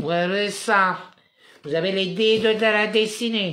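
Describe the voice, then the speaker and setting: In a room with audible echo, a man raises and projects his high-pitched voice, its tone bright and sharp. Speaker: spiritual commentator livestreamer. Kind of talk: live monologue; reading aloud own written text.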